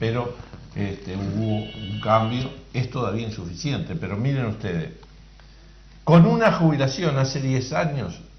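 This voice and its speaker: Amid noticeable background noise and audible room echo, a man talks at a fairly slow pace with lively intonation and long, frequent pauses. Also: medium pitch for a man. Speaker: workers' representative on social security board. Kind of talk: call-in radio Q&A.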